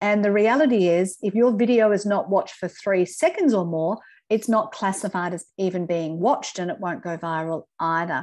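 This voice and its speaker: Against a quiet background, a woman speaks at a medium pitch with an Australian accent. Her pace is moderate, with hardly any pauses and ordinary pitch variation. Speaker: LinkedIn trainer. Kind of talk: webinar presentation. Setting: video call. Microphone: video call.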